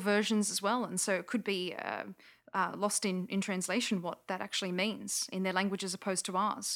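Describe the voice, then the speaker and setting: A woman with an Australian accent has a bright, sharp tone in a very clean recording with a silent background. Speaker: linguist and skeptic.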